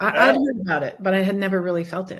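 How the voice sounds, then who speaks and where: A woman speaks in a somewhat breathy voice. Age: 60s. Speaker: chiropractor and genetics health practitioner. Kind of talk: interview.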